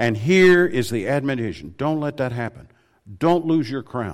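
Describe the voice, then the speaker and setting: A man with an American accent talks at a moderate pace, his medium-pitched voice full of lively intonation. The recording is very clean, with a silent background. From Tennessee. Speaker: preacher. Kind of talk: sermon. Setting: church.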